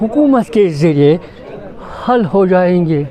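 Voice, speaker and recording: Lively intonation over crowd noise in the background. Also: man. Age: 70s. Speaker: elderly voter. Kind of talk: street interview.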